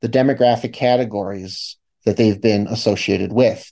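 A man's dark, mellow tone at a moderate pace against a quiet background. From US Midwest, Chicago. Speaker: media studies professor and author. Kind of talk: interview.

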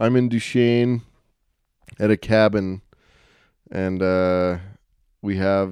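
Speaking with an American accent at a very slow pace, a man's fairly low voice has a dark, mellow tone over a quiet background. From Utah. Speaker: podcast host. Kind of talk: solo monologue. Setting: cabin. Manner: casual, filler-heavy.

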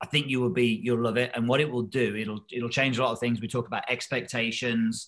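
A man talks at a fairly quick pace with hardly any pauses, at medium pitch. His intonation is fairly even, and it is an unremarkable speaking voice. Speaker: golf coach co-host. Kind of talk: casual interview chat.

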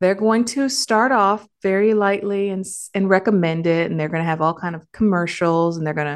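This woman has an ordinary speaking voice, medium in pitch with ordinary variation, and talks at a moderate pace with an American accent. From Detroit area, Michigan. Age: 40s. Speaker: nurse and podcast host. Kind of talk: solo podcast monologue. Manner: casual, conversational.

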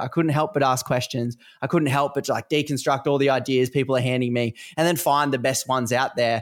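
The speaker talks at a very fast pace with an Australian accent. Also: man. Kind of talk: casual interview conversation.

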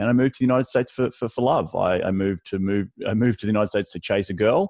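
In an Australian accent, a man talks very fast at a fairly low pitch with ordinary pitch variation, and the sound is dry and close with no echo. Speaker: real estate investor. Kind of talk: podcast interview.

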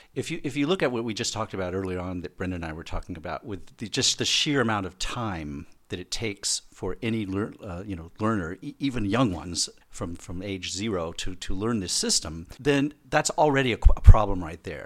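A man with a fairly low voice and an American accent, talking at a fairly quick pace with lively intonation and big swings in loudness. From United States. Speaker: linguist and academic director. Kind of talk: casual chat.

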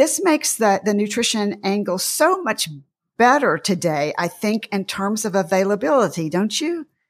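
A woman with a Southern US accent talks at a medium pitch with very wide pitch swings, recorded very cleanly against a silent background. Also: moderate pace. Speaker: podcast host and dietitian. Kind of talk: interview discussion.

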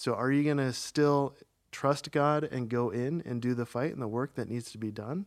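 A man with an American accent speaks in a normal speaking voice at a medium pitch and moderate pace, with ordinary pitch variation. The recording is very clean, the background silent. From US Midwest, small-town Minnesota. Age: 30s. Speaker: church member. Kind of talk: personal testimony.

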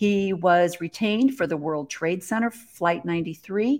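A woman at a medium pitch, very slow pace, ordinary pitch variation. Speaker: podcast host. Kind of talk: casual chat. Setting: video call.

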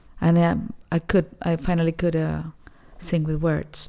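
Speaking with a Spanish accent, a woman uses a fairly low pitch. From Argentina, Buenos Aires. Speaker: jazz vocalist. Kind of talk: interview.

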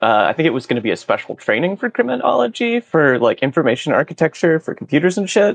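With lively intonation, a man speaks at a very fast pace in a dry, close sound with no echo. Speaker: tabletop game player. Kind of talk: tabletop role-playing game.

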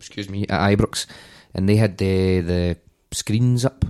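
Heard on a very clean recording with a silent background and a dry, close sound with no echo, a man speaks in a Glasgow accent at a very deep, low pitch. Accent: Scottish, Glasgow. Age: 30s. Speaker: football podcast panelist. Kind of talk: casual chat.

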